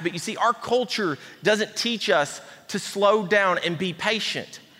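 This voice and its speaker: Raised and projected, a man's high voice with an Appalachian accent moves at a moderate pace with ordinary pitch variation, over noticeable background noise. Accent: Southern US (Appalachian). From East Tennessee. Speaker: pastor. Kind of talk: sermon. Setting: church.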